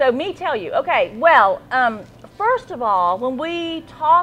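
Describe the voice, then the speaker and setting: With noticeable background noise around her, a woman talks at a fairly slow pace in a high voice that has very wide pitch swings. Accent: Appalachian. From Central Appalachia. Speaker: talk show host. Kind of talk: casual chat.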